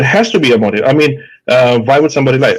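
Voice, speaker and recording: The speaker has a strong Indian accent. Pitch variation is ordinary. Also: man. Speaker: psychiatrist, guest doctor. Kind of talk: call-in debate discussion. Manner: halting, many fillers.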